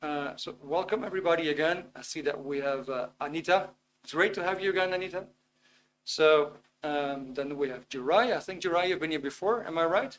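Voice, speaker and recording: At a moderate pace, a man with a Dutch accent speaks at a fairly high pitch with ordinary pitch variation and big swings in loudness. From Netherlands. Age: 50s. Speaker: webinar presenter on self-improvement. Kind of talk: live webinar talk. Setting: live online video stream. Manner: hesitant, with many fillers.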